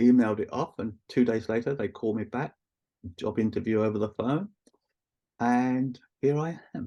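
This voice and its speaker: A man with a London accent speaks at a moderate pace in a medium pitch, with a dark, mellow tone and ordinary pitch variation. He leaves long, frequent pauses. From East London, England. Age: 60s. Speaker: Reiki practitioner and teacher. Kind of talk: casual interview chat.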